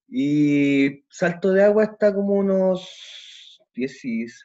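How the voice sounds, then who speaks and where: This man has a dark, mellow tone. His pitch varies in an ordinary way. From Chile, Temuco. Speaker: teaching assistant, photographer and amateur musician. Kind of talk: podcast interview.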